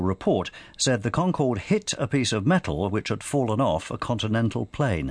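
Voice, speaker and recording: With a British accent, the speaker uses lively intonation at a moderate pace over a quiet background. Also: man. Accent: British (BBC). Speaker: radio newsreader. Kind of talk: crisp bulletin newsreading, headline summaries handed off to correspondents. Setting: studio. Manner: measured, even-paced and formal; neutral, authoritative delivery.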